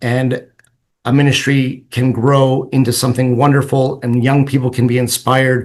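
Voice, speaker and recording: The speech is somewhat breathy, with monotone, flat intonation and a moderate pace. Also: man. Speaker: Orthodox priest. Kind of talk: presentation. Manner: hesitant, many fillers.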